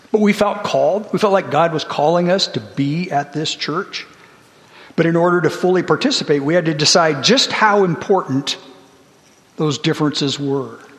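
Over noticeable background noise, a high-pitched man speaks at a moderate pace with ordinary pitch variation. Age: 60s. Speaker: church elder giving a sermon. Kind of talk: sermon.

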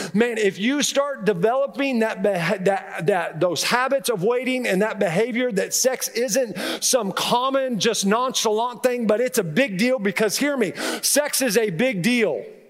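Over noticeable background noise, a man speaks at a fairly slow pace in an extremely high pitch with ordinary pitch variation. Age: 50s. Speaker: pastor. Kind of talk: sermon.

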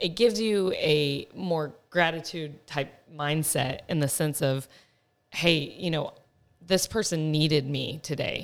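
A woman speaks with an American accent at a very slow pace. Her pitch is very deep and low. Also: ordinary pitch variation. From Texas. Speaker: pharmaceutical sales manager. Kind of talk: casual chat. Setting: studio.

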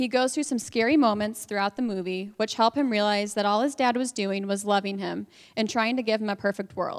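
In an ordinary speaking voice, a woman with an American accent talks at a fairly quick pace with hardly any pauses, her pitch fairly high and her intonation fairly even, on a very clean recording with a silent background. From northwest Indiana. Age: 20s. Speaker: church member sharing story. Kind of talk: testimony. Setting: stage with audience.

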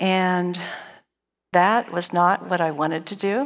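Recorded very cleanly against a silent background, a woman with an American accent and an unremarkable speaking voice talks at a fairly low pitch with ordinary pitch variation. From Northern California. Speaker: church lay speaker. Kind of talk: personal testimony. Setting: church service stage.

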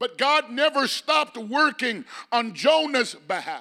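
Raised and projected, a man's extremely high, bright, sharp voice carries an animated tone at a fairly slow pace with ordinary pitch variation. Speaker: preacher. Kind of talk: sermon. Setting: church. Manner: animated, call-and-response preaching; emphatic, building in intensity.

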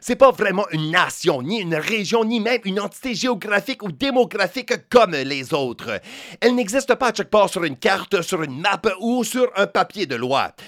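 Lively intonation runs through this man's speech. His voice sits high. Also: moderate pace, dry, close sound with no echo. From New Brunswick, Canada. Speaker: podcast host. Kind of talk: scripted narration.

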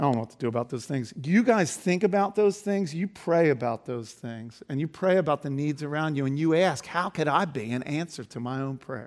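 With a plain, everyday voice, a man talks at a fairly quick pace and a fairly high pitch, with lively intonation and hardly any pauses. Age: 50s. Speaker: pastor. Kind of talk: sermon.

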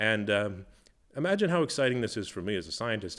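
Here a man with an Upper Midwest accent talks at a fairly quick pace. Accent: Upper Midwest American. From US Midwest (Minnesota). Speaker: zoologist. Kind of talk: interview. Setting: museum back room. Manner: halting, many fillers.

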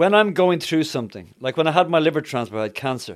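A man with a Dublin accent talks at a very fast pace with lively intonation. The recording is very clean, with a silent background. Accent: Irish (Dublin). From Dublin, Ireland. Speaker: evangelist. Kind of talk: testimony and conversational interview.

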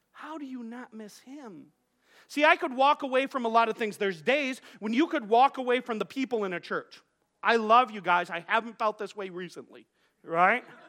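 Extremely high for a man, his raised, projected voice has a bright, sharp tone and ordinary pitch variation. He keeps a moderate pace with big swings in loudness. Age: 40s. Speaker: pastor. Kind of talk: sermon. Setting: church. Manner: halting, with frequent repetitions.

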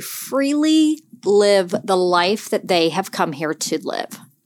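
A woman with an American accent talks at a fairly slow pace. Her voice sits at medium pitch. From Pennsylvania. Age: 40s. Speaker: life coach and podcast host. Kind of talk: reflective solo podcast talk.

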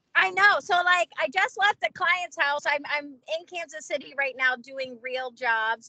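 A woman with a high pitch and a bright, sharp tone projects her raised voice with big swings in loudness and lively intonation. Her pace is fairly slow with hardly any pauses, in a dry, close sound with no echo. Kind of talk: casual chat. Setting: phone call.

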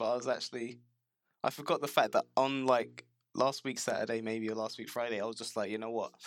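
A British accent at a fairly quick pace. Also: man. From UK, Jamaican heritage. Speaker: games industry worker. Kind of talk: casual chat.

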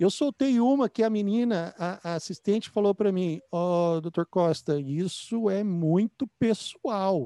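A very slow delivery in a Brazilian accent, with lively intonation, a dark, mellow tone, and a dry, close sound with no echo against a quiet background. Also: man. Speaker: podcast host, dentist. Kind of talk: interview.

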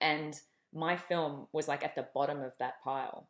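In a very clean recording with a silent background, a woman with an Australian accent speaks in a very deep, low pitch with monotone, flat intonation. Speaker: film director. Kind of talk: interview.

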